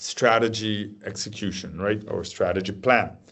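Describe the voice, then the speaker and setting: A man is speaking. His pace is fairly slow. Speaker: strategy management speaker. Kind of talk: webinar presentation. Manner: halting, many false starts.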